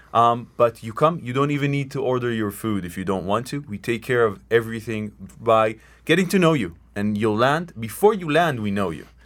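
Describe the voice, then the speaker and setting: A fast-ish, lively-toned man with an Israeli accent on a very clean recording with a silent background. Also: medium pitch for a man. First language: Hebrew. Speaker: tour company co-owner. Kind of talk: radio interview. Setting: radio studio.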